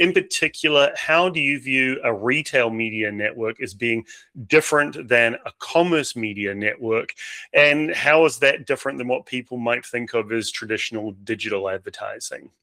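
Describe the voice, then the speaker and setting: This speaker has a New Zealand accent, a bright, sharp tone, ordinary pitch variation and a moderate pace. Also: man, medium pitch for a man. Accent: New Zealand, similar to Australian. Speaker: podcast host. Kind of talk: podcast interview.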